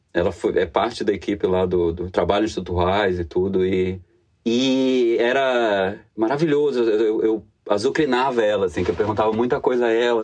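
This is a man with an ordinary speaking voice. His pitch is fairly low, with ordinary pitch variation. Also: moderate pace. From Bahia, Brazil (Salvador). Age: 30s. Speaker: economist and etymology enthusiast. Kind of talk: casual interview.

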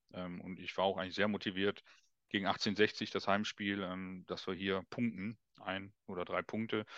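A man's fairly low, monotone voice at a moderate pace, dry and close with no echo, over a quiet background. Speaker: guest, business owner and fan. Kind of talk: casual chat.

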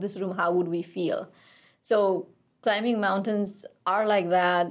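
A woman of medium pitch at a moderate pace, flat and monotone. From Nepal, Kathmandu. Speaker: mountaineer. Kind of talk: interview.

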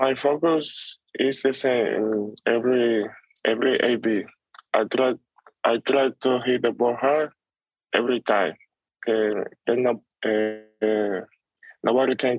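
A man of medium pitch with a Spanish accent, fairly even intonation, very even loudness, long and frequent pauses, and a very slow pace. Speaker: baseball prospect. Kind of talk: interview. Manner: halting.

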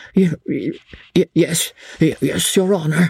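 Putting on a character voice, a man talks at a high pitch in a raspy, shaky way with fairly even intonation. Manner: trembling, frightened.

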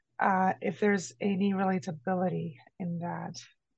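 A woman speaks at a fairly low pitch with ordinary pitch variation. Her delivery is very slow and somewhat breathy. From Brazil. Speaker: energy healer and mentor. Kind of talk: interview conversation. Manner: halting.

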